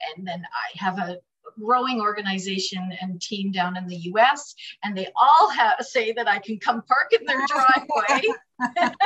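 In a plain, everyday voice with a Canadian accent, a woman speaks at a fairly high pitch with lively intonation and big swings in loudness. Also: fairly slow pace. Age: 50s. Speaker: direct sales director. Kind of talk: interview.

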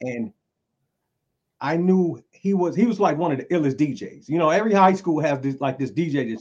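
With a North Carolina accent, a man speaks at a moderate pace in a fairly high pitch, his intonation lively. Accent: Southern US, North Carolina. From Eastern North Carolina (Greenville). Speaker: rapper. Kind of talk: casual chat.

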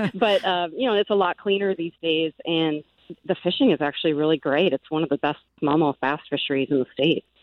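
A woman talks at a fairly quick pace with a fairly low pitch. Hers is an ordinary speaking voice with ordinary pitch variation. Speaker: radio reporter. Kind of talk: live field report. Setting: outdoors.

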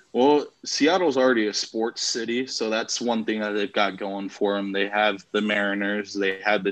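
A man's plain, everyday voice with an American accent, fairly low in pitch, at a moderate pace with fairly even intonation. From Las Vegas, US. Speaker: sports podcast host. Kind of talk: casual chat.

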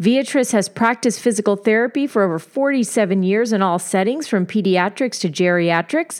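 With hardly any pauses, a woman talks at a moderate pace in a plain, everyday voice, medium in pitch, with lively intonation and very even loudness. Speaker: podcast host. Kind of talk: scripted intro.

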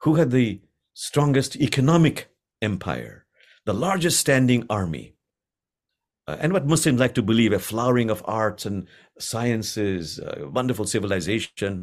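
A man speaks at a medium pitch with lively intonation and vocal fry. His pace is moderate, and the recording is very clean with a silent background. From Bangladesh. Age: 70s. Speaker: imam and Sufi teacher. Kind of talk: interview conversation.

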